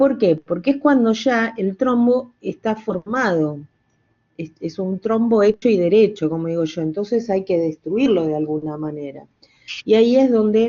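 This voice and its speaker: Her medium-pitched voice moves at a fairly slow pace, and this woman's intonation stays lively throughout. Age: 60s. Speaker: pharmacology teacher. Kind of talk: lecture. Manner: halting, many fillers.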